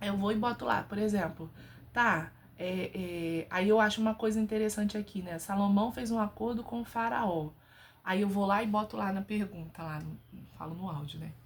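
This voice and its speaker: At a moderate pace, a woman speaks in an animated tone with a medium pitch. Her voice is somewhat breathy, with ordinary pitch variation. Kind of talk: casual religious talk to camera. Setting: home bedroom.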